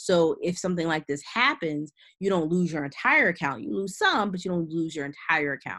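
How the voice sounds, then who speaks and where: A woman's fairly low, bright, sharp voice at a fairly quick pace over a quiet background. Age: 30s. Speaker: investment educator, company founder; investment educator. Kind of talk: webinar presentation. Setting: online webinar. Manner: casual, with many fillers. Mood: casual, explanatory. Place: home room.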